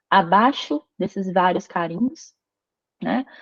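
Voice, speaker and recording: Speaking at a very slow pace, a woman varies her pitch in an ordinary way. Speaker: paleography instructor. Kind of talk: online lecture.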